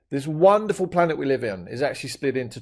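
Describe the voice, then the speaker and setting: A man speaks very fast with a British accent, his pitch fairly high and swinging very widely. His tone is enthusiastic and playful. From Britain, now living in Australia. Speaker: maths teacher. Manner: enthusiastic, playful.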